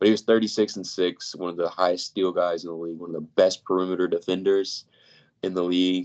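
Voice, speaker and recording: Over a quiet background, a man with a very deep, low voice talks at a very fast pace in dry, close sound with no echo. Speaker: basketball podcast co-host. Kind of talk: casual chat.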